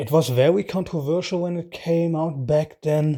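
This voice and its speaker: With a dark, mellow tone and ordinary pitch variation, a man speaks at a fairly slow pace on a very clean recording with a silent background. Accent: non-native. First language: not English. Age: adult, out of school. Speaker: YouTube reaction host. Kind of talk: casual video commentary. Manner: hesitant, with fillers.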